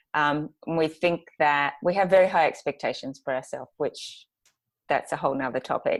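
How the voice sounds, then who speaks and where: With an Australian accent, a woman speaks at a fairly low pitch with ordinary pitch variation and a moderate pace, in a very clean recording with a silent background. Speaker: graphic designer and planner business owner. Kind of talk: podcast interview. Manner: hesitant, many fillers.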